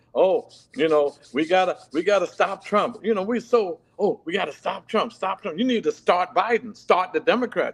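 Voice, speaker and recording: The tone is animated and the pace moderate. Pitch varies in an ordinary way. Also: man, high pitch for a man. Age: 70s. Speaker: political activist. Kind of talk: casual chat.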